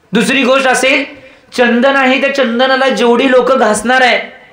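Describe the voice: A man speaks at an extremely high pitch with a bright, sharp tone and little pitch movement. His pace is moderate, and audible room echo surrounds him.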